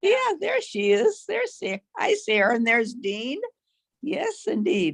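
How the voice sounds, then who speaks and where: At a fairly slow pace, a woman speaks in a high voice that swings very widely in pitch. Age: 90s. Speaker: great-grandmother on a family call. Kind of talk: casual chat. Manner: halting.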